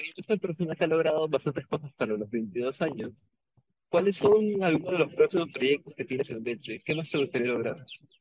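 A man with an ordinary speaking voice talks at a fairly quick pace, his pitch fairly high and his intonation lively, in a dry, close sound with no echo. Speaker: university radio host. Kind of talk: radio interview. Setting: radio studio.

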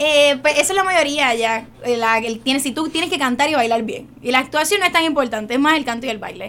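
A high-pitched woman speaks at a fairly quick pace with ordinary pitch variation amid noticeable background noise. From Puerto Rico, San Juan. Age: young. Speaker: actress. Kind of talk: radio interview.

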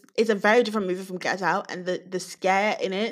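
A woman talks in a British accent at a medium pitch. Her pace is fairly quick. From UK. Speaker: podcast co-host. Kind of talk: casual chat.

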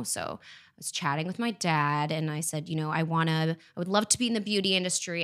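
A woman with an American accent talks at a fairly quick pace in an ordinary speaking voice. Her pitch is fairly low with ordinary pitch variation, and the recording is very clean with a silent background. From France, raised in US. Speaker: fragrance development manager.

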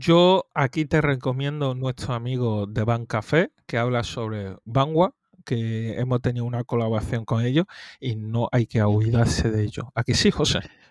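An ordinary speaking voice moves at a moderate pace with ordinary pitch variation, captured in a very clean, dry, close recording with a silent background and no echo. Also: man, medium pitch for a man. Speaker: podcast co-host. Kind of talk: casual chat. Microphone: new microphone.

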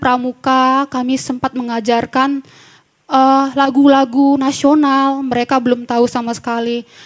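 Recorded dry and close with no echo, a woman speaks at a high pitch and a moderate pace. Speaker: recent graduate giving testimony. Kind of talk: testimony. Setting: church. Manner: halting, with many fillers.

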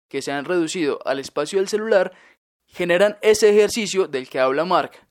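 A high-pitched man at a fairly quick pace. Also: very clean recording, silent background. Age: 20s. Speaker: student podcast host. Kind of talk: scripted narration.

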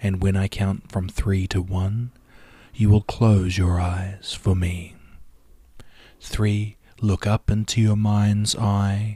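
A man speaks very slowly with long, frequent pauses, his fairly low, dark, mellow voice somewhat breathy, monotone and flat, with a soothing, calm tone. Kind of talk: guided hypnosis induction. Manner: slow, soothing, hushed and rhythmic, with long pauses; calm, measured count-ins and repeated suggestions in a hypnotic cadence.

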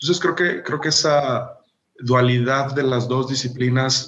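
Fairly slow delivery in an unremarkable speaking voice. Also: man. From Mexico, Jalisco (small town). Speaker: architect and architectural photographer. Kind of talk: interview.

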